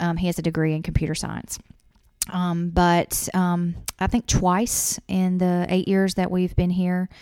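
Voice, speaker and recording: On a very clean recording with a silent background, a woman with a fairly low pitch and a dark, mellow tone speaks in a flat monotone at a moderate pace. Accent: Southern US. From Louisiana. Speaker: insurance agent. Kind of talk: casual chat. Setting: office.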